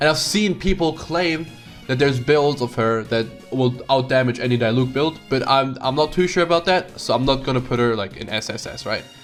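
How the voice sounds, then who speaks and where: A man talks at a fairly quick pace with ordinary pitch variation while music plays in the background. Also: medium pitch for a man. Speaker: gaming content creator. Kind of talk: casual gaming commentary. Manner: casual, rambling.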